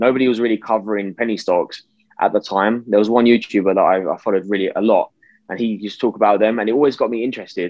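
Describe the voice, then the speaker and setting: A man with a British accent talks at a very fast pace. His pitch is fairly low and his intonation fairly even. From UK. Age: 20s. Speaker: investor and youtuber. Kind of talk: interview.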